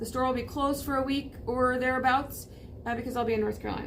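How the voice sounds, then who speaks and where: Audible room echo carries a woman's high-pitched voice. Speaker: vintage shop owner. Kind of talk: casual show-and-tell video. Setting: in her shop, crowded new setup. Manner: fast.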